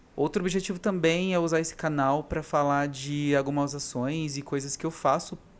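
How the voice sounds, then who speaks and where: His pitch is fairly high. The speaker is a man. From interior of São Paulo state, Brazil. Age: 30s. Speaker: vlogger. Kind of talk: casual personal vlog monologue. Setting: talking alone to camera. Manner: unscripted, single take with some hesitations.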